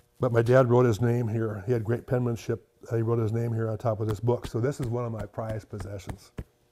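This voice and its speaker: With an Upper Midwest accent, a man of medium pitch rattles along at a very fast pace with hardly any pauses, his tone dark and mellow and his intonation monotone and flat. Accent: Upper Midwest American. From US Midwest, South Dakota. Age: 70s. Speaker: farmer and collector. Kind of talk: interview. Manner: halting.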